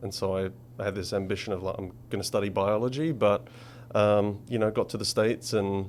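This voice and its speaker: A man with an English accent speaks at a fairly quick pace. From England, Essex. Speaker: commercial real estate director. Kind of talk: interview.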